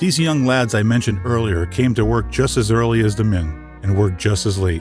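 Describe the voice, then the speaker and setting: With music in the background, a man with an American accent speaks at a moderate pace in a fairly low voice that swings very widely in pitch. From Northeast Pennsylvania. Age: 60s. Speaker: voice actor. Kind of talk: personal history narration. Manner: folksy, conversational.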